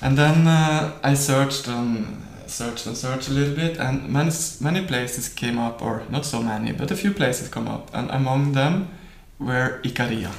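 Noticeable background noise and audible room echo surround a man of medium pitch. He talks at a moderate pace with ordinary pitch variation. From Norway. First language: Norwegian. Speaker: professional guitarist. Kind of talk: interview.

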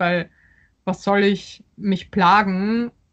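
A woman's medium-pitched voice in a flat monotone. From Austria and Poland (Vienna, Warsaw). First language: Polish (speaking German). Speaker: novelist. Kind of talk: interview. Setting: video call. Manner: halting, many fillers.

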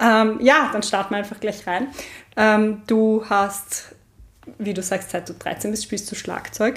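The woman's pitch is fairly high and her intonation fairly even. She speaks at a very slow pace. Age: 30s. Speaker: podcast host. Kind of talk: interview. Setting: at the guest's home.

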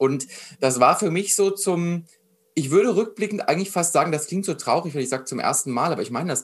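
A man speaks at a fairly quick pace in a fairly high pitch. His pitch varies in an ordinary way. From Germany, Frankfurt area. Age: 20s. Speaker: mindset coach. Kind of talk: interview conversation. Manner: animated.

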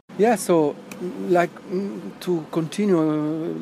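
A man speaks with an Italian accent over noticeable background noise. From Italy. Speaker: neuroscience researcher. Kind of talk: interview.

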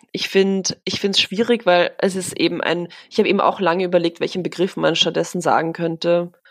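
At a moderate pace, this woman delivers her words in a fairly low pitch. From Vienna, Austria. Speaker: journalist. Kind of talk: casual chat.

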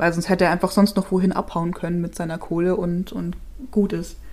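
Fairly quick and monotone with flat intonation, a woman speaks in a medium pitch with a dark, mellow tone. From Chiemgau, Upper Bavaria. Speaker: true crime podcast co-host. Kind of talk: case presentation in casual podcast chat.

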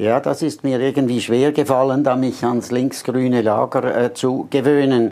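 A man speaks at medium pitch and a moderate pace in a dark, mellow tone, with monotone, flat intonation, very even loudness and hardly any pauses. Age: 70s. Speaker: journalist and former politician. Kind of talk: interview.

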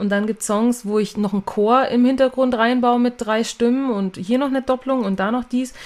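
A woman's plain, everyday voice, fairly high in pitch, with fairly even intonation and a fairly quick pace. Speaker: singer and songwriter. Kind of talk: casual interview chat.

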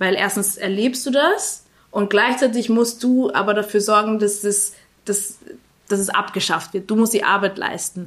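An ordinary speaking voice, fairly even in intonation and moderate in pace. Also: woman, medium pitch for a woman. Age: 20s. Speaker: journalist and association founder. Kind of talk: interview.

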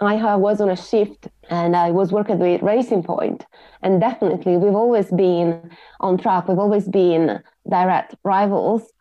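A woman speaks with an Italian accent at a medium pitch. Her pace is moderate and her intonation fairly even. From Italy, Sardinia. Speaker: motorsport aerodynamicist. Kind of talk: interview.

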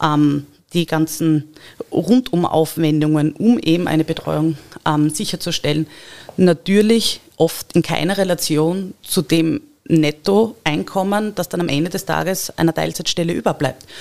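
In a normal speaking voice, a woman with a fairly low pitch and ordinary pitch variation talks at a fairly slow pace. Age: 30s. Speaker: local election candidate and engineering project manager. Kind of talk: podcast interview.

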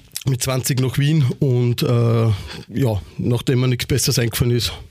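Noticeable background noise sits behind a man's voice. His pitch is medium and his intonation fairly even. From Austria, Upper Austria (Ried im Innkreis). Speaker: nightclub owner and event promoter. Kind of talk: casual interview.

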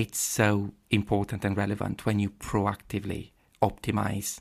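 A man speaks with an Italian accent at a fairly low pitch. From Italy, Padua. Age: 40s. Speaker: paediatric gastroenterologist. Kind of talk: interview. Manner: hesitant, with fillers.

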